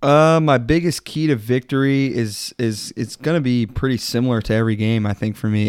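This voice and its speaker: A man with an American accent, a plain, everyday voice at medium pitch, ordinary pitch variation, a moderate pace with hardly any pauses, and a very clean recording over a silent background. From Texas. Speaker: sports podcast co-host. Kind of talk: casual chat.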